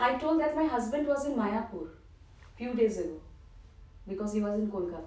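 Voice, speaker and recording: A woman with a fairly high pitch speaks at a moderate pace, her intonation lively and her loudness swinging widely, with audible room echo around her. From Bengal, India. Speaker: disciple. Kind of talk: casual chat.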